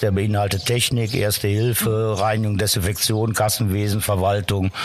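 Over noticeable background noise, a man speaks at a moderate pace with a fairly low pitch. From western Germany, Cologne area. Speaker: lifeguard and pool supervisor. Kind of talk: interview.

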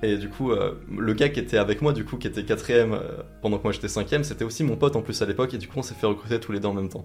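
His pitch is fairly low and varies in an ordinary way. The man speaks at a very fast pace. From France, Vosges. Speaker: YouTuber. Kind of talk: interview conversation. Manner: hesitant, many fillers.

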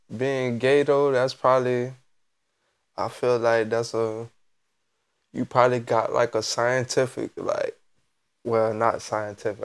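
The recording is very clean with a silent background. A man speaks at medium pitch and a moderate pace in a monotone, flat intonation. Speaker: podcast co-host. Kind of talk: casual chat.

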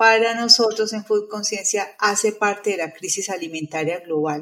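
In a normal speaking voice, a woman of medium pitch keeps a moderate pace and fairly even intonation. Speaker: nutritionist, retired professor. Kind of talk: interview conversation.

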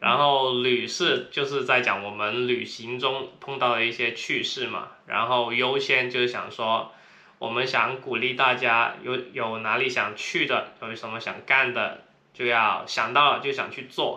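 A man speaks at a fairly slow pace with a strong Cantonese accent and a medium pitch. His intonation is monotone and flat, with audible room echo and noticeable background noise. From Guangdong, China. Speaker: podcast co-host, traveler. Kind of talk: casual chat.

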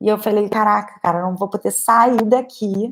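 At a moderate pace, this is an ordinary speaking voice with fairly even intonation. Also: woman. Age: 20s. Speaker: painter and art teacher. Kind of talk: casual talk on a livestream. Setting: livestream.

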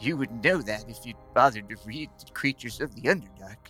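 A put-on character voice at a low-to-middle pitch, fairly quick in pace, with clear music in the background. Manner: gentle, sad, quietly determined.

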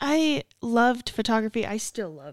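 In a dry, close sound with no echo, a woman with an American accent speaks with very wide pitch swings. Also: very clean recording, silent background. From Utah, Davis County. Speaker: podcast co-host, RV park hospitality supervisor. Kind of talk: casual chat.

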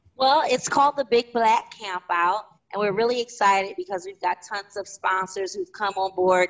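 At a moderate pace and medium pitch, a woman talks with hardly any pauses in a Philadelphia accent. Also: ordinary pitch variation. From West Philadelphia. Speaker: community organizer and entrepreneur. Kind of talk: interview.

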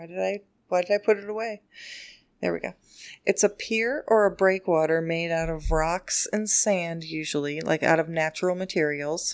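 A woman speaks in a plain, everyday voice at a moderate pace and fairly low pitch, with ordinary pitch variation. Her loudness swings widely on a very clean recording with a silent background. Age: middle-aged. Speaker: podcast co-host. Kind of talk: casual chat.

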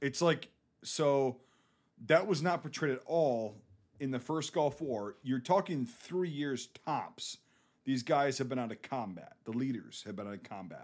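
With a Northern Midwest accent, a man speaks at a fairly high pitch and a fairly slow pace, his intonation lively. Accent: Northern Midwest American. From US Midwest. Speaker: war veteran. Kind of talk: casual chat. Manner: profane, casual.

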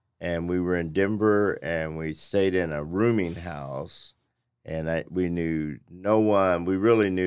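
A man's very deep, low pitch at a fairly slow pace, fairly even in intonation, on a very clean recording with a silent background. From Oklahoma. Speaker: nonprofit executive director. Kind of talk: personal storytelling.

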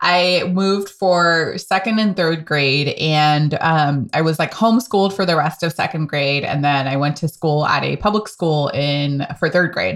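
A woman with an American accent speaks in an ordinary speaking voice, fairly low in pitch with ordinary pitch variation, at a fairly slow pace with hardly any pauses and very even loudness. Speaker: podcast host. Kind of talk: casual interview conversation.

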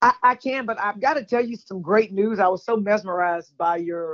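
The speech comes in a Southern US accent at a fairly quick pace, with ordinary pitch variation. The sound is dry and close with no echo, against a quiet background. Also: woman. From Texas, Houston. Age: 50s. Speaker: caller. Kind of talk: casual chat. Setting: phone call.

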